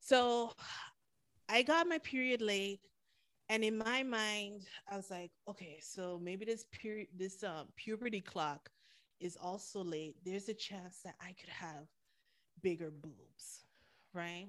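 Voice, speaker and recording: A woman's animated, medium-pitched voice in a Caribbean accent, fairly slow, with long, frequent pauses. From Caribbean, St. Martin. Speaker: podcaster. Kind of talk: casual chat.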